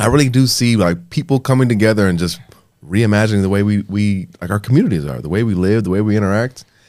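Against a silent background in a very clean recording, a man speaks very fast in a fairly low pitch with ordinary pitch variation. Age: 20s. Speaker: podcast host. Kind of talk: interview.

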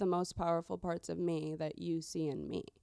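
The woman's voice sits at a fairly low pitch. Its tone is dark and mellow. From US Midwest, Chicago suburbs. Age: young. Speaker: barber. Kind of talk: interview. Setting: trade show.

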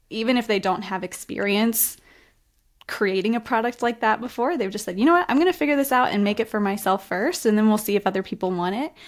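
A normal speaking voice from a woman, fairly high in pitch, with lively intonation and a fairly quick pace. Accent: American. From US, West Virginia. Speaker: design studio founder. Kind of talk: casual interview chat.

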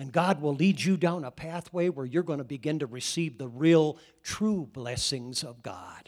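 A man with an American accent speaks at a moderate pace in a fairly high pitch, with ordinary pitch variation, big swings in loudness and hardly any pauses. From US Midwest, Iowa. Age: 60s. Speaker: pastor. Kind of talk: sermon. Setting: church. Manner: animated.

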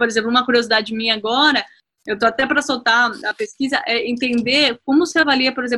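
Speaking at a fairly quick pace, a woman uses a fairly high voice. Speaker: teacher and career coach. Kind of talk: interview.

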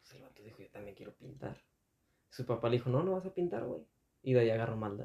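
A man talks at a very fast pace in a dark, mellow, somewhat breathy tone of medium pitch. His intonation is lively, and his loudness swings widely. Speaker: podcast host. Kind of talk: casual chat.

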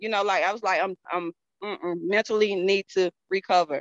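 In a Southern US accent, a woman talks at a fairly quick pace with a bright, sharp tone, medium pitch and fairly even intonation, and the sound is dry and close with no echo. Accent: Southern US (Georgia). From Georgia, US South. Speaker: network marketing distributor. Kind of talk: interview. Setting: video call.

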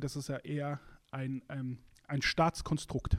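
A man with a fairly high voice is heard on a very clean recording, the background silent. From Germany, Musbach area. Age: 30s. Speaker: podcast co-host. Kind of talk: casual religious discussion. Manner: hesitant, many fillers.

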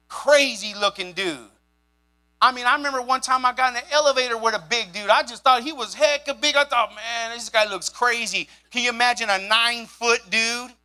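A man's extremely high, raised and projected voice, bright and sharp in tone, at a fairly quick pace with ordinary pitch variation. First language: sign language. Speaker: pastor. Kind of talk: sermon. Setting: church. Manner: animated.

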